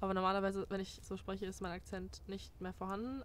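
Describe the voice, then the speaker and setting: A woman talks very fast in a medium pitch, and the sound is dry with no echo. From Germany. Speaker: former exchange student. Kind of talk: casual chat. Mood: relaxed, chatty. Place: garden.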